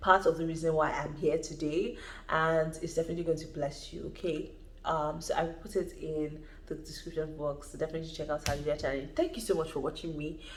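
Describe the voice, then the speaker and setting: A woman's very deep, low voice, flat and monotone at a very fast pace, with audible room echo. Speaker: YouTuber. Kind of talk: vlog advice talk.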